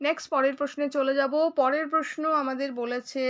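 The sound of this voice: A woman's high-pitched voice with a fairly bright tone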